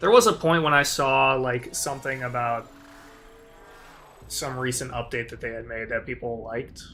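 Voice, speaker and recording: Bright and sharp in tone, a man speaks at a fairly slow pace. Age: 20s. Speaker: gaming streamer. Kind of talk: casual live-stream commentary. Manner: casual, rambling with fillers.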